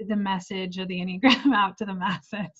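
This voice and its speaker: A woman speaks in a somewhat breathy voice. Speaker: women's life coach. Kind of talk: interview explaining personality typology.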